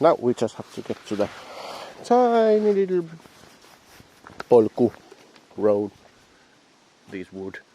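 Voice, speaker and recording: A man with a Finnish accent talks at a fairly slow pace, leaving long, frequent pauses, with very wide pitch swings and big swings in loudness over noticeable background noise. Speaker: dog owner vlogger. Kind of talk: casual vlog narration. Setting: outdoors. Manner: halting.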